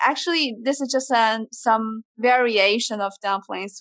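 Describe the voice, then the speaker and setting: A woman with a Chinese accent talks at a very slow pace in a fairly high pitch, recorded with a dry, close sound and no echo. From southeastern China. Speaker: PhD graduate in natural resource sciences. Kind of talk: casual interview. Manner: hesitant, many fillers.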